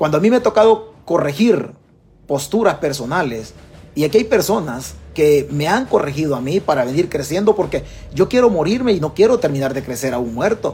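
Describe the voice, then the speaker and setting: A man with a Salvadoran accent talks at a fairly quick pace and a fairly high pitch. His tone is animated, with very wide pitch swings. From El Salvador. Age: 50s. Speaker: political commentator. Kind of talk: livestream commentary. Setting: Facebook live stream. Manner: repetitive, animated.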